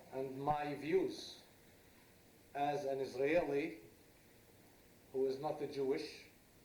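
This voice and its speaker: Very slowly, a man speaks in a fairly high voice with monotone, flat intonation. Room echo is audible. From Israel, Druze village. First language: Arabic. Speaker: former politician, lecturer. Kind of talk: lecture. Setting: lecture hall with audience, no microphone. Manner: loud.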